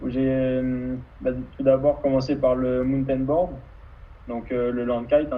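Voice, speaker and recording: Noticeable background noise and audible room echo surround a man who talks at a fairly slow pace. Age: 20s. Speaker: kitesurfer and student. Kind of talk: interview. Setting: live video stream.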